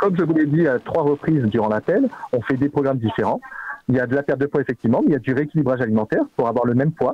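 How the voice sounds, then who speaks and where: The man talks at a very fast pace. His voice sounds dry, with no echo. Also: quiet background. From Corsica, Ajaccio; Corsica. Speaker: company phone employee; streamer making prank call. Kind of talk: phone call. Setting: phone call. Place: home room.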